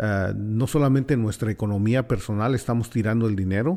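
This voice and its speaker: A man with a Mexican accent, medium pitch and ordinary pitch variation, on a very clean recording with a silent background. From Mexico City. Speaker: community radio host. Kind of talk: radio roundtable discussion. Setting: radio studio.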